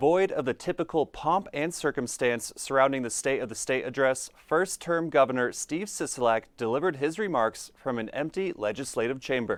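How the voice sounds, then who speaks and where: Over a very clean recording with a silent background, a man with an American accent uses a plain, everyday voice at a moderate pace with ordinary pitch variation. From Colorado. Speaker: TV news reporter and anchor. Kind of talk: news anchor read.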